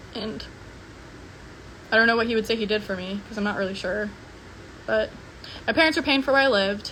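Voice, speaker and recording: The speech is mumbled and very fast, broken by long, frequent pauses, with ordinary pitch variation and noticeable background noise. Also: woman, fairly high pitch for a woman. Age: 20s. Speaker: social media personality. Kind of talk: livestream monologue. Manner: mumbling; casual filler-heavy.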